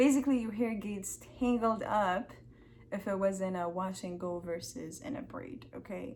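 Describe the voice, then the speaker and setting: Audible room echo surrounds a woman speaking at a moderate pace and medium pitch. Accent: non-native. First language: not English. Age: 20s. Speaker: hair care vlogger. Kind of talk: tutorial. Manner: casual, filler-heavy.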